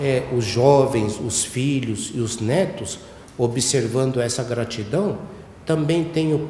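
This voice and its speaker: A man speaks very slowly at a medium pitch. Noticeable background noise and audible room echo accompany him. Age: 60s. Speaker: church head minister. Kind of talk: sermon. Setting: church ceremony. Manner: halting, many fillers.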